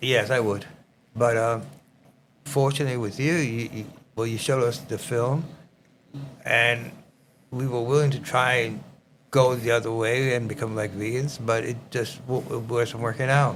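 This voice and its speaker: With a strong New York accent, a man talks at a moderate pace and medium pitch, his intonation fairly even and broken by long, frequent pauses. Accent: thick New York. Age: 80s+. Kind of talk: podcast conversation.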